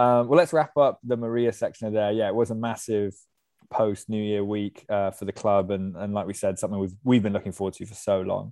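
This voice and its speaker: A man with an English accent talks at a fairly quick pace, with fairly low pitch and ordinary pitch variation. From England. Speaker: podcast host. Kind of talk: casual chat.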